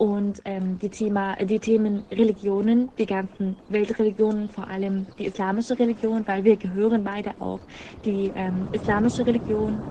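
In an Arabic accent, a woman speaks at a moderate pace and medium pitch with monotone, flat intonation over noticeable background noise. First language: Arabic (speaking German). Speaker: podcast host, blind. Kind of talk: podcast intro. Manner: hesitant, many fillers.

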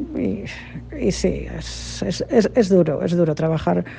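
A woman speaks with a fairly low pitch and a dark, mellow tone. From Spain, Cantabria. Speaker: translator. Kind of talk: interview.

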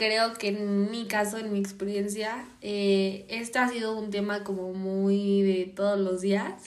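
A woman's medium-pitched voice at a very slow pace, monotone and flat, with audible room echo. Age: 20s. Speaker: podcast guest, host's sister. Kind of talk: casual chat.

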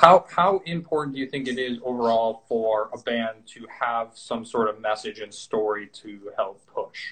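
A man with an ordinary speaking voice talks at a medium pitch and fairly slow pace, with hardly any pauses, ordinary pitch variation and big swings in loudness. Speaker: podcast host. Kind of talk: casual interview. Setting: video call.

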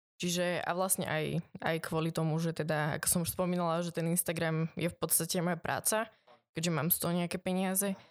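Speaking at a very fast pace, a woman holds a fairly low pitch in a monotone, flat intonation with very even loudness. The recording is very clean, with a silent background. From Slovakia, Trnava (born in eastern Slovakia, moved at 4-5). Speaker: tattoo artist and influencer. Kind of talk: casual interview.

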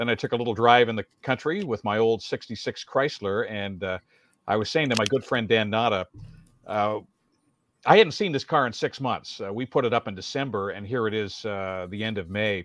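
With a Canadian accent and an unremarkable speaking voice, a man talks fairly quickly at a medium pitch with ordinary variation, in a dry, close sound with no echo against a quiet background. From Welland, Ontario. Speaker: veteran radio broadcaster and community emcee. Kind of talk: casual interview chat.

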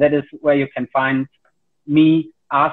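A man with a German accent, fairly high-pitched, at a fairly slow pace. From Germany. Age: 40s. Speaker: karate instructor. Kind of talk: casual interview. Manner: hesitant, many fillers.

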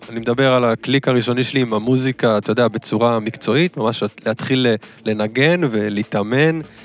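With a dry, close sound and no echo, a man in a normal speaking voice talks at a moderate pace with ordinary pitch variation. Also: medium pitch for a man. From Israel, Ashdod. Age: 30s. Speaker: DJ and music producer. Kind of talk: interview. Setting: studio.

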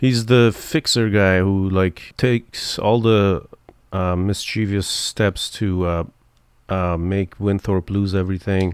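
A man's fairly low voice at a very slow pace, with fairly even intonation, on a very clean recording against a silent background. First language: not English. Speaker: podcast co-host. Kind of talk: casual chat.

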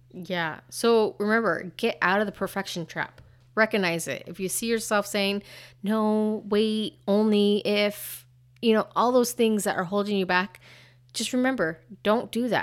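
In a very clean recording with a silent background, a woman talks at a fairly slow pace in a normal speaking voice, her medium pitch showing ordinary pitch variation. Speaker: podcast co-host. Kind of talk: casual chat.

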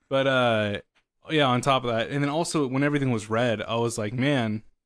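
Fairly quick speech from a man in an unremarkable speaking voice of medium pitch, quiet background. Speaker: podcast host. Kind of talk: casual chat, comedic banter. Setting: live stream. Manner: casual, profane, joking.

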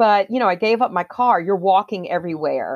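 A woman with an American accent speaks in a plain, everyday voice at medium pitch with lively intonation. The sound is dry and close, with no echo. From US South. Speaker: presentation coach. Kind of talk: interview.

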